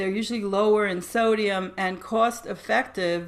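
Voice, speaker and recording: This is a woman with a normal speaking voice and a fairly high pitch. She talks at a moderate pace. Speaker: dietitian. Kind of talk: webinar presentation.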